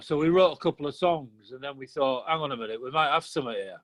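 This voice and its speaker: A very fast-paced man's voice with ordinary pitch variation, pitched fairly high. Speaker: punk musician. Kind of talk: interview. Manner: halting, repeats words.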